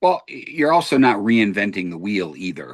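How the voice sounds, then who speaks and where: Pitched at a medium level, a man uses a normal speaking voice with lively intonation. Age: 60s. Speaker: podcast host. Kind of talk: casual debate.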